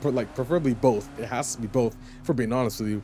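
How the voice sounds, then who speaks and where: With music in the background, a man speaks at medium pitch in an animated tone. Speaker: gaming YouTuber. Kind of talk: casual video commentary. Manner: fast.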